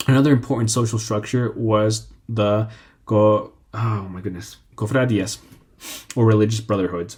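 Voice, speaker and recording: This man's voice sits fairly low in pitch. It carries a somewhat breathy quality. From Mexican, raised in the United States. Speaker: history channel host. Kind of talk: informal history talk. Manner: halting, many fillers.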